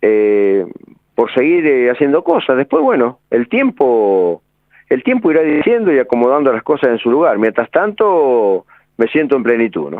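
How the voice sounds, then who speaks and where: A man speaks in a Rioplatense accent. His pitch swings very widely. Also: medium pitch for a man, moderate pace. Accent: Argentine Spanish (rioplatense). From Argentina, Santa Fe province (El Trébol). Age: 60s. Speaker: football coach. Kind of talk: radio interview. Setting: phone call.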